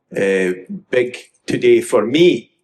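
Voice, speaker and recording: The speaker is a man with a west of Scotland accent. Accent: west of Scotland Scottish. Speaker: audience member. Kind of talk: comment from the floor. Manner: hesitant, many fillers.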